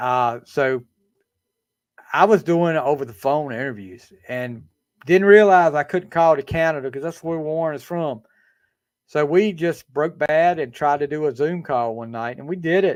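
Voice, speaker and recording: Speaking at a moderate pace in a Southern US accent, a man with a fairly high pitch shows ordinary pitch variation and big swings in loudness. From eastern North Carolina, US South. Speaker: podcast host. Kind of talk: casual chat. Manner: halting, many fillers.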